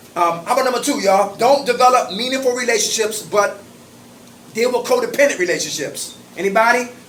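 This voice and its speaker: Over noticeable background noise and audible room echo, a man speaks at a fairly quick pace in a high-pitched, animated voice. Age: 50s. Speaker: recovery group facilitator. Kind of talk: support group meeting. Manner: fast.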